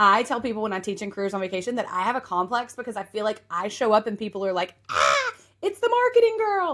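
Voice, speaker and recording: A woman speaks with an Appalachian accent. Her pace is very fast. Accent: Appalachian Southern. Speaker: podcast host and marketing coach. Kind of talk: podcast monologue. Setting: office couch.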